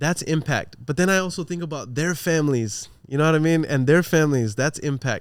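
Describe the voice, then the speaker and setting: Speaking at a fairly quick pace with hardly any pauses, a man uses a fairly high pitch with ordinary variation. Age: 30s. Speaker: entrepreneur. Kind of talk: casual chat. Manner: animated.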